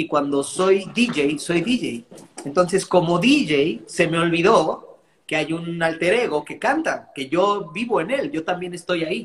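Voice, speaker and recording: A man's high pitch with lively intonation at a fairly slow pace. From Mexico. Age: 30s. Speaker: DJ and music producer. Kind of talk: casual interview chat.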